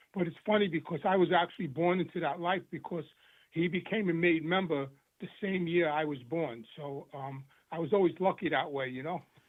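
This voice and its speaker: A man speaks in a New York accent with a high pitch. His pace is fairly quick and his pitch variation ordinary. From New York City, Queens. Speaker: former mobster in recovery. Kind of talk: interview testimony. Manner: halting, repetitive.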